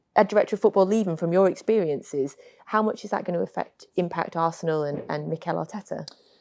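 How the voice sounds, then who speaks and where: A woman with a northern English accent, a dark, mellow tone and a fairly quick pace, over a quiet background. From northern England. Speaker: podcast host. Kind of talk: casual chat.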